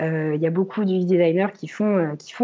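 A woman speaks at a fairly slow pace in a medium pitch. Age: 20s. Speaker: freelance UX researcher. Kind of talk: interview. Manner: halting, many repetitions and fillers.

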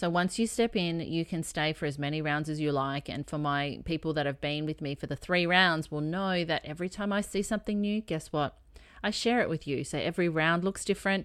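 A woman with an Australian accent, a fairly low pitch and ordinary pitch variation, at a fairly quick pace with hardly any pauses, on a very clean recording with a silent background. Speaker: health and healing coach. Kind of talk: casual solo podcast chat.

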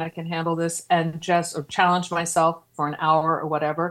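Fairly low-pitched woman's voice in a Philadelphia accent, fairly quick and monotone with flat intonation, in a very clean recording against a silent background. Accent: Philadelphia American. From Philadelphia area, US. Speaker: podcast host and horror zine editor. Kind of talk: casual chat.

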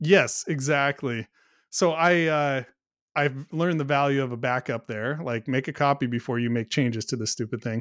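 In an ordinary speaking voice, a man with an American accent talks at a fairly high pitch with ordinary pitch variation, recorded very cleanly with a silent background and a dry, close sound with no echo. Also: moderate pace. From US Pacific Northwest. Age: 40s. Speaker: software company co-founder. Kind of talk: casual interview conversation.

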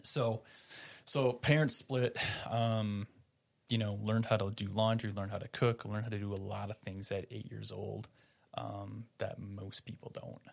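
A man with an American accent, an ordinary speaking voice, fairly low pitch, moderate pace and fairly even intonation, in a very clean recording with a silent background. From Upper Peninsula of Michigan. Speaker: church volunteer leader. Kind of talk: testimony.

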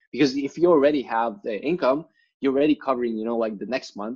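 This man speaks very fast with a Lithuanian accent. His pitch varies in an ordinary way. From rural Lithuania. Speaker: writer and content marketer. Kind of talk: interview. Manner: frequent fillers and repetitions.

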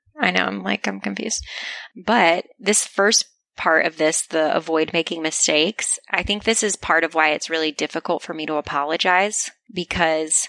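Speaking at a moderate pace with a fairly low pitch, a woman shows vocal fry, a bright, sharp tone and lively intonation, with a dry, close sound and no echo. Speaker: podcast host. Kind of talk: casual chat. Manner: soft-spoken.

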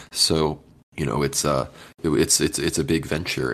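Very deep and low, the man's voice carries vocal fry. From British overseas territory. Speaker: podcast host. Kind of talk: casual chat.

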